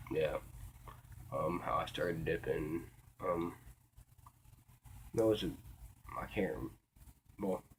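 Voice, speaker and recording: Speaking quietly in an American accent, a man goes at a fairly slow pace with long, frequent pauses. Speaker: vlogger. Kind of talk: casual monologue. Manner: halting, many fillers.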